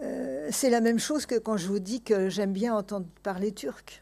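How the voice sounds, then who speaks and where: In a very clean recording with a silent background, a woman with an Armenian accent speaks fairly slowly in a medium-pitched, dark, mellow tone with ordinary pitch variation. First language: Armenian (speaking French). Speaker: author and translator. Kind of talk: public talk Q&A. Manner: hesitant, many fillers.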